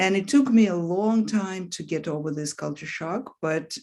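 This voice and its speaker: Lively intonation from a woman with a Russian accent at a fairly slow pace. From Russia, Leningrad. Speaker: author. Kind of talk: interview. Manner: hesitant, with fillers.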